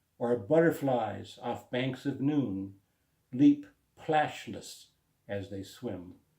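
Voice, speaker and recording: A somewhat breathy man with a dark, mellow tone and medium pitch talks very slowly, with ordinary pitch variation, big swings in loudness and long, frequent pauses. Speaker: spoken word poet. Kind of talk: poetry reading.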